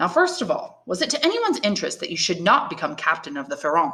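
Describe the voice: A woman puts on a character voice at a fairly low pitch with a bright, sharp tone. She talks at a fast pace with very wide pitch swings.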